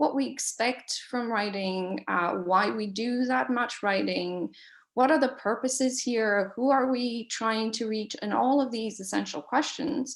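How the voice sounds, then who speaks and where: Against a quiet background, a woman with a non-native accent speaks at a fairly slow pace, her pitch fairly high and its variation ordinary. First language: not English. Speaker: professor. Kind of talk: panel moderation. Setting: online webinar. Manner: hesitant, many fillers.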